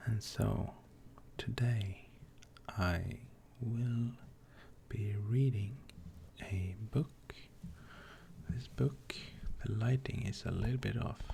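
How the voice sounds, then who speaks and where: Soft-spoken, the speaker goes at a very slow pace with long, frequent pauses. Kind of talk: casual talk to camera.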